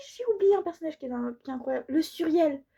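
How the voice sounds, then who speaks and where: A woman is speaking. Her tone is animated. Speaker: book reviewer. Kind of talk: casual book review vlog. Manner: animated, hesitant with fillers.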